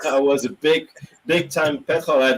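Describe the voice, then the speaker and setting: A man speaks at a moderate pace with a French accent. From France. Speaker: automotive journalist and EV consultant. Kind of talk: casual chat.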